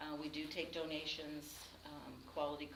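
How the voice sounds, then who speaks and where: A woman speaks with a very deep, low pitch. Room echo is audible, and background noise is noticeable. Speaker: nonprofit executive director. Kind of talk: presentation with Q&A to a grant panel. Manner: fast; many fillers (um, uh).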